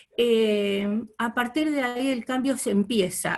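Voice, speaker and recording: A woman has a plain, everyday voice with a fairly high pitch. Her pitch variation is ordinary. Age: 60s. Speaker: course participant. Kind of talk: testimony.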